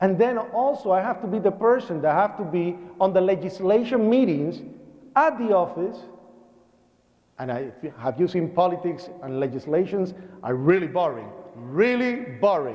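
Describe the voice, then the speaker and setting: A man with a Puerto Rican accent, high-pitched and animated, with very wide pitch swings, long and frequent pauses, and audible room echo. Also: moderate pace. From Puerto Rico. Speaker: 9/11 survivor and speaker. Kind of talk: public speech. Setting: church with audience and PA.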